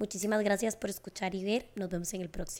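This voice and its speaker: In a very clean recording with a silent background, a woman of medium pitch speaks at a moderate pace in a flat monotone. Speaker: psychologist podcast host. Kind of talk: casual interview chat; scripted outro.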